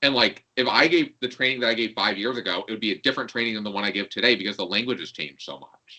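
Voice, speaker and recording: In an American accent, this voice moves at a very fast pace with hardly any pauses and a bright, sharp tone. Its loudness swings widely while the pitch varies in an ordinary way. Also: man, medium pitch for a man. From New York. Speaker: LGBTQ program coordinator. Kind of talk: casual interview chat. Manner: frequent 'like' fillers.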